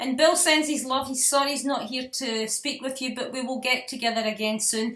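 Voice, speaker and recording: In a Scottish accent, a woman speaks at a moderate pace with a high pitch. Her tone is bright and sharp, and her intonation stays fairly even. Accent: Scottish brogue. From Scotland. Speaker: online show host. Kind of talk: interview.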